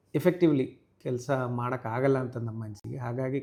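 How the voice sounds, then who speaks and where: Normal variation in pitch runs through a man's dark, mellow tone. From Kerala, Thrissur. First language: Malayalam (speaking Kannada). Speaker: police superintendent. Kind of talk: interview.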